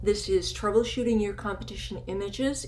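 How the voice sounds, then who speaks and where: A woman's voice comes with noticeable background noise and audible room echo. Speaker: photography educator. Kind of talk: recorded webinar lecture.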